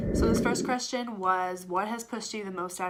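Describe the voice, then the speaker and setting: Noticeable background noise sits behind a woman speaking at medium pitch with fairly even intonation in an American accent. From United States. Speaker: vlogger. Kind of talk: casual Q&A vlog. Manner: hesitant, many fillers.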